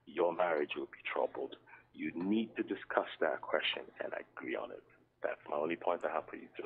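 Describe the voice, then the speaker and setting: A man at a fairly quick pace, with big swings in loudness. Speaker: caller. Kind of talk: phone-in call. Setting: phone call. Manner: soft-spoken. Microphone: phone held far from mouth, too quiet.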